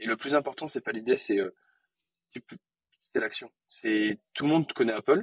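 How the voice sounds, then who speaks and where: A man talks at a moderate pace, leaving long, frequent pauses. The sound is dry and close with no echo. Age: 20s. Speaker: entrepreneur. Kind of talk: interview.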